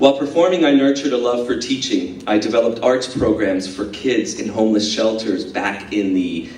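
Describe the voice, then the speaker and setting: Amid noticeable background noise, a man talks at a moderate pace with a medium pitch. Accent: Spanish. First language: Spanish. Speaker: dance company director, former performer. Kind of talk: speech to audience. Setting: school event breakfast. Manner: hesitant, many filler words.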